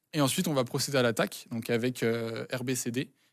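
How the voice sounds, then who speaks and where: A man talks at a medium pitch in a very clean recording with a silent background. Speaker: cybersecurity student presenting a write-up. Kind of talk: technical walkthrough on a live stream. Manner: halting, many hesitations.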